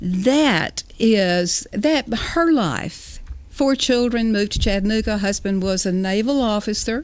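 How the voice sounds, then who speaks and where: In a Southern US accent, a woman speaks at a fairly slow pace with lively intonation and a fairly high pitch. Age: 70s. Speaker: author. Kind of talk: interview.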